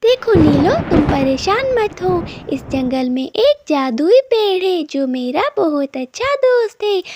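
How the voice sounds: In a cartoonish character voice, a woman speaks at an extremely high pitch and a fairly slow pace, with very wide pitch swings.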